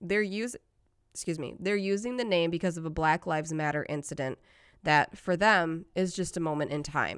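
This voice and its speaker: Speaking at a fairly quick pace with a Michigan accent, a woman's fairly low voice comes through on a very clean recording with a silent background. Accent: Michigan, flat vowels. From Detroit, Michigan. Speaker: podcast host. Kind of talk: casual chat.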